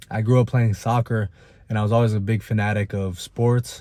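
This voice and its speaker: A man with an American accent speaks in an ordinary speaking voice at a medium pitch and moderate pace. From Italy, then US from age nine. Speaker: personal trainer. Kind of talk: personal story told to camera.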